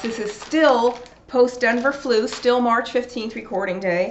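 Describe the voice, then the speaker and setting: A woman speaks at a fairly slow pace in an unremarkable speaking voice. Light background noise is present. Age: 40s. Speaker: nutrition video blogger. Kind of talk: casual educational monologue. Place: home room. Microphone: webcam.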